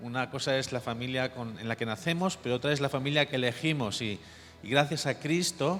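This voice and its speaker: With music in the background, a man in a Catalan accent talks at a very fast pace, medium in pitch with ordinary pitch variation. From Catalonia, Barcelona area. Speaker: missionary pastor. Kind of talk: sermon.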